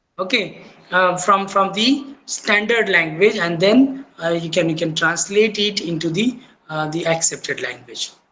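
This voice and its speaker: The speaker has a Marathi accent and a fairly slow pace. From India, Maharashtra. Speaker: teacher. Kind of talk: lecture. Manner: halting, with many fillers.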